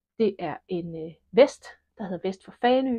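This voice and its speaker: Speaking very slowly, a woman uses lively intonation at medium pitch. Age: 50s. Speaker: knitting podcaster. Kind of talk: casual podcast monologue. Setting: at home alone.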